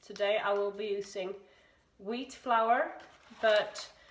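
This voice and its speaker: A woman speaks with fairly even intonation. Room echo can be heard. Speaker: larp hobbyist video maker. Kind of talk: cooking tutorial. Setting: kitchen. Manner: halting.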